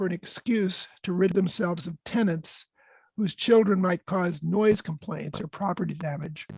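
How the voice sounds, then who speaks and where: A man's high-pitched voice at a moderate pace, with ordinary pitch variation and a dry, close sound with no echo. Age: 70s. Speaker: peace and housing activist. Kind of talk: prepared talk. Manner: partly read from script.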